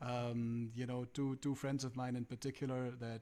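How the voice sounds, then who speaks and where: This man speaks at a moderate pace with monotone, flat intonation. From India, Calcutta. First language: Punjabi. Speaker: musician. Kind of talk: interview. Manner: halting.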